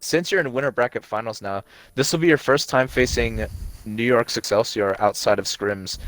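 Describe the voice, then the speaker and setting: On a very clean recording with a silent background and a dry, close sound without echo, a man speaks in an unremarkable speaking voice at a moderate pace with ordinary pitch variation. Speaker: esports caster. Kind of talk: post-match interview.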